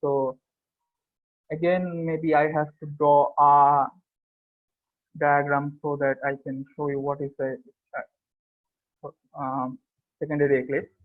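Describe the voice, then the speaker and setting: In a flat monotone with a non-native accent, a man speaks at a fairly slow pace, leaving long, frequent pauses. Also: fairly high pitch for a man. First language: not English. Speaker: student presenter. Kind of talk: academic paper presentation. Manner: hesitant, many fillers.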